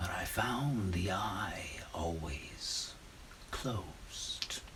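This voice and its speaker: A man whispers in a put-on character voice with an intense tone. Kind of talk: gothic horror monologue. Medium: stage play. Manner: intense, conspiratorial, proud of his cunning.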